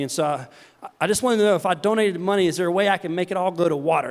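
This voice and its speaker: A man talks at a very fast pace in a Southern US accent. His intonation stays fairly even. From US South, the Carolinas. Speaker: charity founder, keynote speaker. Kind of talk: keynote talk. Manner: halting, repeats words.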